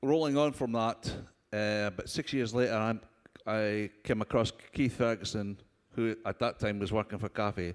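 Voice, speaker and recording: A fairly low-pitched man with ordinary pitch variation. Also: moderate pace. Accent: strong Scottish. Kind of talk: panel discussion. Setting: conference stage with audience.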